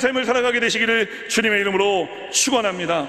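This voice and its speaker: Against noticeable background noise and audible room echo, a man talks at a fairly quick pace with fairly even intonation. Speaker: pastor. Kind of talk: sermon. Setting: church. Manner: fast.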